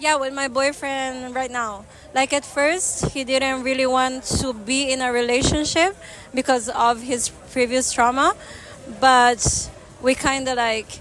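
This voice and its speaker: Fairly slow, fairly even speech with noticeable background noise. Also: woman, high pitch for a woman. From Italy. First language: Italian. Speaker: street interviewee. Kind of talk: street interview. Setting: outdoors.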